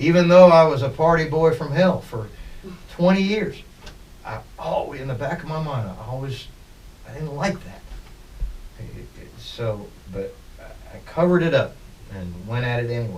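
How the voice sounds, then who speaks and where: With audible room echo, a man speaks at a moderate pace and fairly high pitch, making very wide pitch swings and big swings in loudness, and leaving long, frequent pauses. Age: 60s. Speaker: musician. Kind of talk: interview. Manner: halting.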